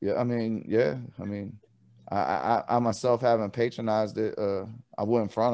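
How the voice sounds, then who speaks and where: Over a silent background on a very clean recording, a man with a normal speaking voice talks fairly quickly at a fairly low pitch with fairly even intonation. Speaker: talk show host. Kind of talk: casual interview talk.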